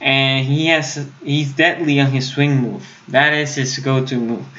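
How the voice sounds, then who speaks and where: With a Puerto Rican accent, a man speaks at a fairly high pitch and a fairly slow pace. His intonation stays monotone and flat, and audible room echo surrounds it. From Puerto Rico. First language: Spanish. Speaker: sports YouTuber. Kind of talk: live stream commentary. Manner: halting at times, gets stuck; casual, conversational.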